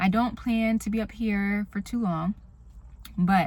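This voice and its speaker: A soft-spoken, somewhat breathy woman talks at a fairly slow pace. Her intonation is fairly even, on a very clean recording with a silent background. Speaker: vlogger. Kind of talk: casual vlog. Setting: in a car.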